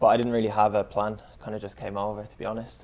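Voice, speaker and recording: In an Irish accent, a man talks at a very fast pace with a medium pitch and a dark, mellow tone on a very clean recording with a silent background. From Ireland. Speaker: footballer and physio. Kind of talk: casual chat.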